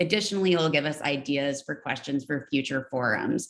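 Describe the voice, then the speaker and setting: A woman's very deep, low voice at a moderate pace, with fairly even intonation. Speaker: forum moderator. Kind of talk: moderated candidate forum. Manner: halting.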